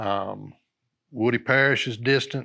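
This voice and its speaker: A man with a North Carolina accent, medium pitch, fairly even intonation and a fairly slow pace. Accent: Southern US (North Carolina). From North Carolina, US South. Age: 60s. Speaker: retired fire captain. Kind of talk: oral history interview. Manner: halting, many fillers.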